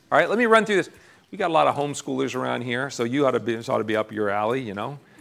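A man with an American accent speaks with vocal fry and very wide pitch swings. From central Pennsylvania. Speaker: pastor. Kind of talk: sermon.

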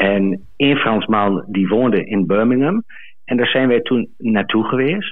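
A man's medium-pitched speech moves moderately, with ordinary pitch variation. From Twente, eastern Netherlands. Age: 40s. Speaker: caller, farmer. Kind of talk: storytelling. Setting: phone call.

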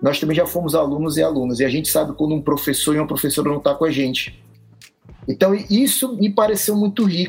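Over music in the background, a man speaks at a very fast pace with lively intonation. His pitch sits fairly high. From Brazil, Ceará (Fortaleza). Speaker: physical education teacher. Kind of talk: casual chat.

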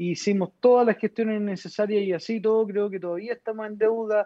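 A man's voice, high in pitch. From Chile, Santiago (Lo Prado). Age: 30s. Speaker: politician. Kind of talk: interview.

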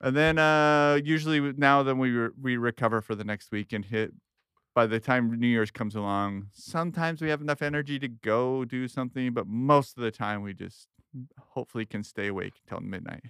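Here a man talks at a fairly quick pace in a medium pitch with ordinary pitch variation. He has a plain, everyday voice. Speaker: podcast co-host. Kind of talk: casual chat.

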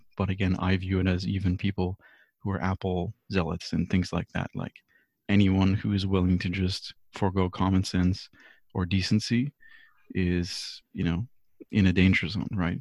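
Fairly even intonation marks this man's very deep, low voice. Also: moderate pace, dry, close sound with no echo. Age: 30s. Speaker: panelist. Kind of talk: casual group discussion. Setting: video call.

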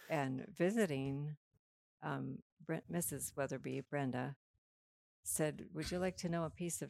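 A woman with an American accent and a very deep, low pitch, with vocal fry and lively intonation at a fairly slow pace, in a dry, close sound with no echo. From Minnesota prairie. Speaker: guest, mother of the hosts. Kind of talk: casual interview chat.

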